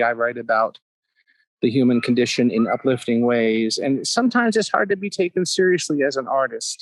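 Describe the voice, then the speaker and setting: A man with a fairly high pitch speaks at a fairly quick pace. The sound is dry and close with no echo. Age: 60s. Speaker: poet. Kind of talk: interview. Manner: halting.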